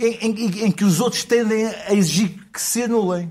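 A man with a high pitch and a dark, mellow tone speaks at a moderate pace with ordinary pitch variation. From Porto, northern Portugal. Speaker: journalist. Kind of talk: comedy panel chat.

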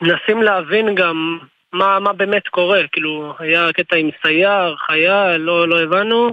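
Fairly slowly, a man speaks at a high pitch. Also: very even loudness. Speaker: reserve soldier. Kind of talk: interview.

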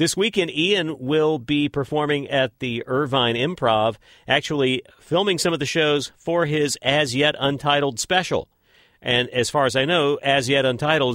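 Speaking with an American accent, a man with a fairly high pitch has an unremarkable speaking voice with ordinary pitch variation. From West Texas. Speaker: podcast host. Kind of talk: podcast intro.

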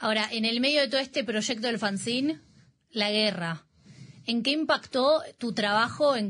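With an unremarkable speaking voice, a woman talks at a fairly slow pace and fairly high pitch, her intonation lively against a quiet background. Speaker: radio host. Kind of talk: interview. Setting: studio.

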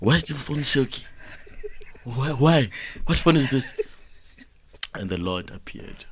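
Pitched at a medium level, a man talks at a fairly slow pace with lively intonation and long, frequent pauses. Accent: South African. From South Africa. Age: 20s. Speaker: comedian. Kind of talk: comedic banter. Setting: studio. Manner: animated.

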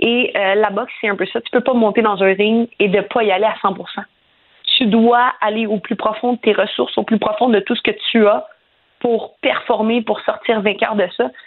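The speaker has an unremarkable speaking voice, moving at a fairly slow pace with fairly even intonation. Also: woman. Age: 30s. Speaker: professional boxer. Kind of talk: radio interview.

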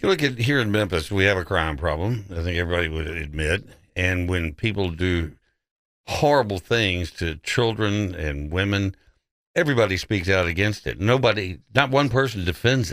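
With lively intonation, a man talks at a moderate pace in a very deep, low voice. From Texas. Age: 70s. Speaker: talk radio host. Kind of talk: talk radio show.

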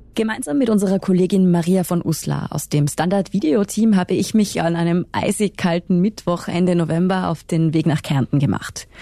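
Her voice fairly low and her tone dark and mellow, a woman talks at a moderate pace with ordinary pitch variation and hardly any pauses. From Tyrol, Pitztal valley. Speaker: journalist, podcast co-host. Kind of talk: scripted narration.

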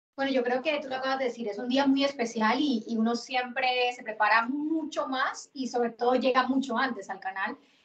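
A woman with a high pitch talks at a fairly quick pace with fairly even intonation and hardly any pauses. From Colombia. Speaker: football commentator. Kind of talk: casual chat.

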